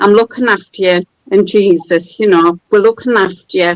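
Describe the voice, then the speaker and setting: In a dry, close recording with no echo, a woman with a County Durham accent speaks with fairly even intonation. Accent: northern English (County Durham). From northern England, County Durham. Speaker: caller. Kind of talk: testimony.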